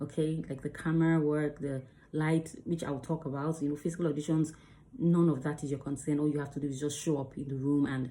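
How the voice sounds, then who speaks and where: A fairly quick, monotone delivery with a dark, mellow tone and flat intonation, in a very clean recording against a silent background. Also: woman. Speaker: actor and video creator. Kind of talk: tutorial. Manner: fast.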